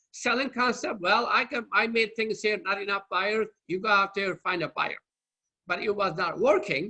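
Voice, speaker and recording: A man speaks in a Turkish accent with a raised, projected voice and a high pitch. His tone is bright and sharp, with ordinary pitch variation. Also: moderate pace. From Turkey. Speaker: marketing lecturer. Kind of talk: lecture. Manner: halting.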